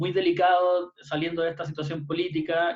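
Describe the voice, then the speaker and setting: Fairly high for a man, his voice moves at a fairly quick pace with monotone, flat intonation. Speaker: youth panelist. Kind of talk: online panel discussion. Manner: halting, many fillers.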